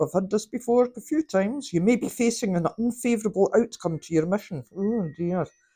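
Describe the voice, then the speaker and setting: Lively intonation from a woman with a Scottish accent, medium-pitched and dark, mellow in tone, at a fairly quick pace. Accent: Scottish (Fife). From Scotland. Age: 50s. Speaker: tarot card reader. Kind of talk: tarot reading.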